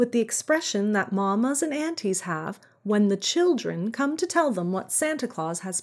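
A natural reading voice.

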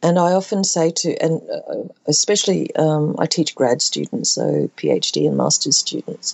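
Fairly slow speech from a woman with an Australian accent. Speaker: contemporary artist. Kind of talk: interview.

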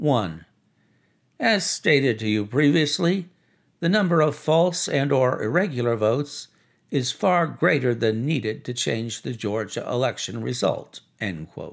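Vocal fry runs through a man's voice as his pitch swings very widely. The recording is very clean, with a silent background. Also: medium pitch for a man, fairly slow pace. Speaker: podcast narrator. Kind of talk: formal legal reading aloud of an indictment. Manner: formal.

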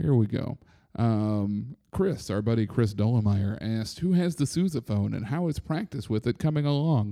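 With lively intonation and a medium pitch, a man talks at a moderate pace in an unremarkable speaking voice. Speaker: soccer supporters podcast host. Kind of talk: casual chat. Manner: loud.

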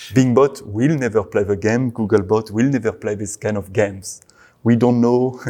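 Medium-pitched male speech in a French accent, dark and mellow in tone, moderate pace, fairly even intonation, quiet background. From France. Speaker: search engine web crawling team lead. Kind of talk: interview.

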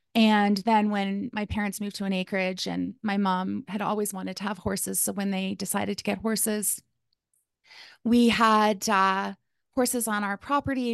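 In a western Canadian accent, a woman speaks at a medium pitch with monotone, flat intonation. The sound is dry and close with no echo, over a quiet background. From Calgary, Alberta, Canada. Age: 40s. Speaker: life coach. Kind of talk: interview.

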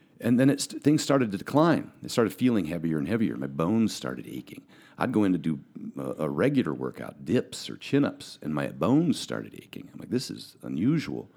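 Captured in a very clean recording with a silent background, the voice has a dark, mellow tone with vocal fry, very wide pitch swings, big swings in loudness and a fairly quick pace. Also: man, fairly low pitch for a man. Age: 40s. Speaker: professional bodybuilder and powerlifter. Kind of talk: casual chat. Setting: studio.

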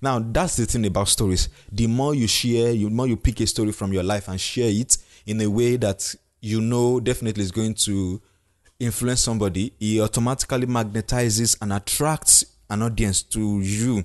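A man with a Nigerian accent speaks at a moderate pace with fairly even intonation. The sound is dry and close with no echo, over a quiet background. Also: medium pitch for a man. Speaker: podcast host and leadership coach. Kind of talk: solo podcast monologue. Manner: halting, self-correcting.

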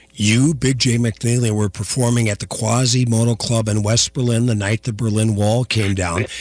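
An American accent at a moderate pace, with noticeable background noise. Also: man. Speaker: radio host. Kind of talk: radio interview show. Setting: studio.

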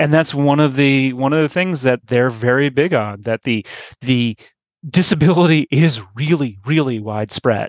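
A man with an American accent speaks at a moderate pace in a normal speaking voice, fairly high in pitch with ordinary pitch variation. His loudness stays very even, and the sound is dry and close with no echo. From New York. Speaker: newsletter publisher. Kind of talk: casual interview. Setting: remote recording.

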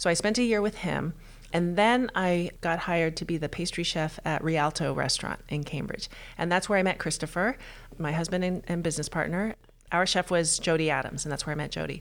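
She has a plain, everyday voice and an American accent. Her pitch is fairly low with ordinary variation, and she speaks at a fairly quick pace. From Texas. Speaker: pastry chef and bakery owner. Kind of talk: interview. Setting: in person, same room.

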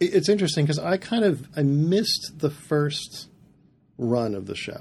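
With an American accent, a man talks in vocal fry, his intonation lively. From US Midwest, northern Indiana. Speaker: planetarium director. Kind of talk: interview conversation.

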